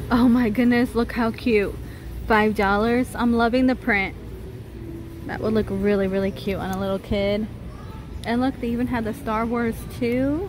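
Noticeable background noise surrounds a woman on a dry recording with no echo as she talks with fairly even intonation and long, frequent pauses. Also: moderate pace. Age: 30s. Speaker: shopping vlogger. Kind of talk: casual store walkthrough vlog. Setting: inside a retail store. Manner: chatty, with frequent laughs. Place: shop. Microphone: phone near.

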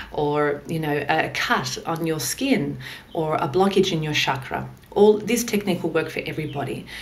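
Here a woman talks in a very deep, low pitch. Her pace is moderate, with ordinary pitch variation. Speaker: instructor. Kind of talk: tutorial. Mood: calm, gentle. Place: home room.

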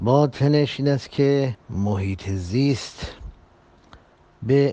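A man speaks in a somewhat breathy voice. His tone is dark and mellow. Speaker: religious preacher. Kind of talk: public address on social issues.

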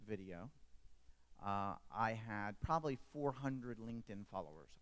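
Here is a man with an unremarkable speaking voice at a medium pitch. His pitch varies in an ordinary way. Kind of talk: panel discussion. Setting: stage with audience.

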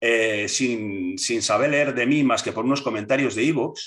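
Fairly slow speech from a man, with a quiet background. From Basque Country, Spain. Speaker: political movement leader; interviewee. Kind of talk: interview. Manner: halting, many repetitions and fillers. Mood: reminiscing, calm storytelling. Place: home room. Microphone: video call.

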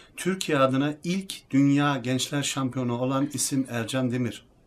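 The delivery comes at a fairly slow pace. It is a plain, everyday voice, and its pitch varies in an ordinary way. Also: man. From Germany (Turkish heritage). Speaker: athlete and fitness YouTuber. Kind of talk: casual talk to camera.

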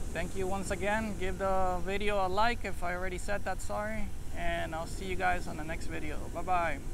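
Heard at a moderate pace, the speech has a dry sound with no echo and noticeable background noise. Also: man. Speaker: drone hobbyist vlogger. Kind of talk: casual vlog chat. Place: beach. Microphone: phone near.

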